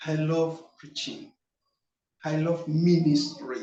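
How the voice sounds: A man with a fairly high pitch amid audible room echo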